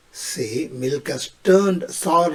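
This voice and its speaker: Speaking very slowly with an Indian accent, a man uses ordinary pitch variation. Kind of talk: short comedic English tips to camera.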